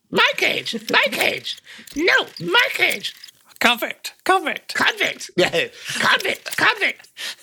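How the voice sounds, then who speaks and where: A put-on character voice, extremely high with very wide pitch swings, at a very slow pace. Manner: squawking, repetitive.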